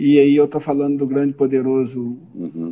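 An ordinary speaking voice at a moderate pace. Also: man. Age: 50s. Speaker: business owner, supermarket chain president. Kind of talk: casual interview.

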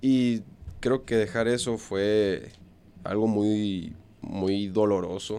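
A man's fairly low voice at a very slow pace, with long, frequent pauses, very even loudness and ordinary pitch variation. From Monterrey, northern Mexico. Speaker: professional baseball player. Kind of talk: interview. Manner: halting, many fillers.

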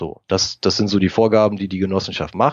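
A man talks at a fairly quick pace with a fairly low pitch. He has an ordinary speaking voice. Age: 40s. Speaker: private investor and technician. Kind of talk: interview.

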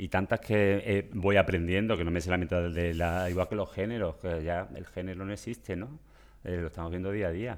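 A man with an Andalusian accent speaks at a very deep, low pitch. His pace is moderate. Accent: Andalusian Spanish (Seville). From Seville, Spain. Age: 50s. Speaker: personal shopper. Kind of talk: interview. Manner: animated; halting.

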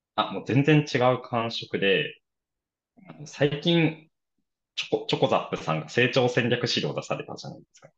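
Vocal fry at a moderate pace, with ordinary pitch variation and big swings in loudness. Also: man, fairly high pitch for a man. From Japan, Aichi. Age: 20s. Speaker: startup founder, fitness gym entrepreneur. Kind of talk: podcast interview.

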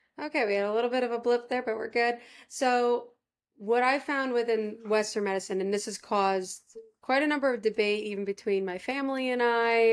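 A woman speaks in a normal speaking voice with an American accent, fairly high in pitch with ordinary pitch variation. Her pace is fairly quick on a very clean recording with a silent background. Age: 20s. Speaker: podcast host. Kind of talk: casual chat.

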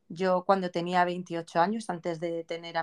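An ordinary speaking voice at a fairly slow pace, in a dry, close recording with no echo. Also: woman. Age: 40s. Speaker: podcast host. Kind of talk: casual interview chat.

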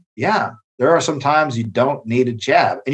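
At a moderate pace, a man with a fairly high pitch talks in a normal speaking voice. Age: 30s. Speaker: boxing coach and gym owner. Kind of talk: casual chat.

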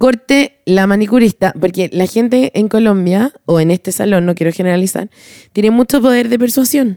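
A woman's medium-pitched voice with a dark, mellow tone, ordinary pitch variation, very even loudness and a moderate pace, in a dry, close sound with no echo. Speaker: podcast co-host, advertising creative. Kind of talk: casual chat.

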